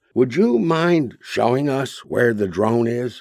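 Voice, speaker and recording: A man in a put-on character voice with ordinary pitch variation. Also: medium pitch for a man, fairly slow pace. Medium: read story.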